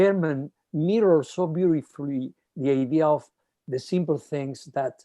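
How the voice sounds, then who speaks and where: At a moderate pace, the speaker talks over a quiet background. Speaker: orchestra conductor. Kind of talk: panel discussion. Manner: hesitant, with fillers.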